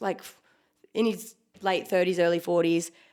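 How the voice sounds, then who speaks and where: A strong Western Australian accent comes through on a very clean recording with a silent background. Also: woman. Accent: broad Western Australian. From Western Australia, Rockingham. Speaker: ex skimpy and karaoke host. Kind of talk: casual podcast interview. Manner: halting, lots of fillers.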